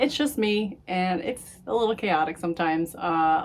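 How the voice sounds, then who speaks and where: A loud woman speaks at a fairly slow pace. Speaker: crafting vlogger. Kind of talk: casual chat.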